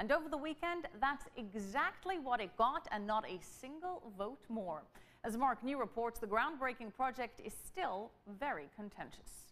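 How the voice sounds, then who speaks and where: Her pitch high and swinging very widely, a woman speaks at a moderate pace. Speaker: news anchor. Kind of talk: news reading. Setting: studio. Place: studio. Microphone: lapel.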